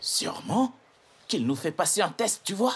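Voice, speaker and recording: At a moderate pace, a man does a raspy put-on character voice, high-pitched with very wide pitch swings. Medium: fan dub. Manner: cautious, grumbling.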